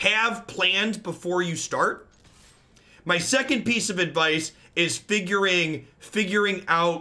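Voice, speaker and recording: A man speaks in a raised, projected voice at a high pitch with a bright, sharp tone. His pace is very slow. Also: ordinary pitch variation. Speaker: card game streamer. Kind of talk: live gameplay commentary. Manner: loud.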